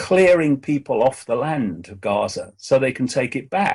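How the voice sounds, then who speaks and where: Over a quiet background, a man talks at a fairly slow pace in a somewhat breathy voice with lively intonation. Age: 70s. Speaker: political commentator. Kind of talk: interview. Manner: halting with many repetitions and fillers.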